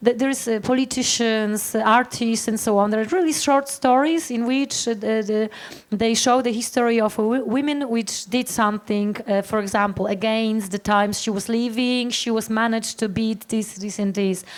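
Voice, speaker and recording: Over noticeable background noise, a woman with a fairly high pitch speaks at a moderate pace with hardly any pauses and fairly even intonation. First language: Polish. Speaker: startup founder panelist. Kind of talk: panel discussion. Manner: halting.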